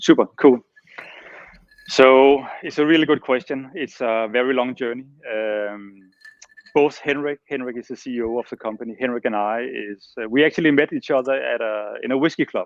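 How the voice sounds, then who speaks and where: The man talks at a moderate pace. His volume rises and falls sharply. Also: medium pitch for a man, fairly even intonation. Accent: Danish. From Denmark. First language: Danish. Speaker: master distiller. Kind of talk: interview.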